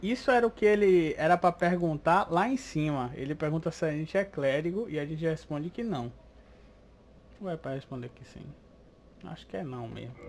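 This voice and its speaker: With a Brazilian accent, a man speaks at a fairly quick pace and a fairly high pitch, his lively intonation marked by big swings in loudness and long, frequent pauses. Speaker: gaming video creator. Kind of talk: casual gameplay commentary.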